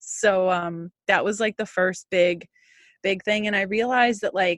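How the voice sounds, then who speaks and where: A woman with a Canadian accent and an ordinary speaking voice, at a moderate pace with fairly even intonation. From Canada. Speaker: holistic nutritionist and intuitive healer. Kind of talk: interview conversation.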